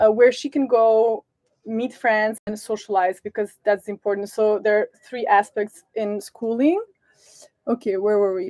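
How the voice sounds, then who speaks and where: With a Serbian accent, a woman speaks fairly slowly in a fairly high voice with fairly even intonation, the sound dry and close with no echo. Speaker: sailing family vlogger. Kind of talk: live stream Q&A. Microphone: sound problems at start of stream.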